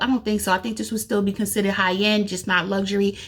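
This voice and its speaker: A woman's very fast speech is somewhat breathy. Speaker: beauty youtuber. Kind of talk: casual product review vlog.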